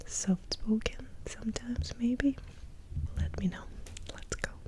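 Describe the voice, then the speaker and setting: Over noticeable background noise, a woman speaks in a whisper at a fairly slow speed. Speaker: ASMR content creator. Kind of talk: casual talk to camera, Q&A. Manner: soft-spoken, lo-fi, relaxed.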